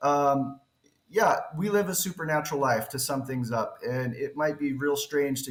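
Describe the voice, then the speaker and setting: A somewhat breathy man with an American accent speaks at a moderate pace and a fairly high pitch. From western US. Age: 40s. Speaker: crypto project founder. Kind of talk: interview. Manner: halting.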